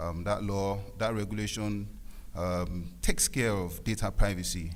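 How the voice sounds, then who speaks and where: A man's fairly low voice with a nervous tone, in audible room echo. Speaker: lawyer. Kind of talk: conference speech. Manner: halting; nervous, shaky voice.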